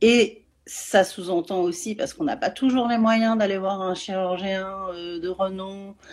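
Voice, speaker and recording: A woman with a medium pitch speaks at a very slow pace with fairly even intonation, on a very clean recording with a silent background. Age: 40s. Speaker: parenting coach and neurofeedback trainer. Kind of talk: interview on live video. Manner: hesitant, many fillers.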